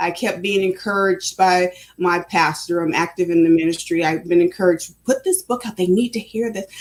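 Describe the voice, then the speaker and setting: A woman talks at a fairly quick pace. She leaves hardly any pauses. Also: medium pitch for a woman. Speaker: author and speaker. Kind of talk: interview. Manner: fast.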